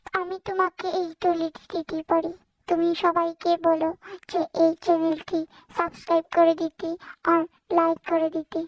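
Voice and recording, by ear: This cartoonish character voice sits at an extremely high pitch, moving at a moderate pace in a monotone, flat intonation.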